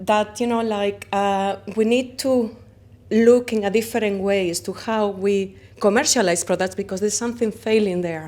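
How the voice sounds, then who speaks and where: A fairly slow pace in a Spanish accent. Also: woman. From Spain. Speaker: company founder. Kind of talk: interview. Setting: conference.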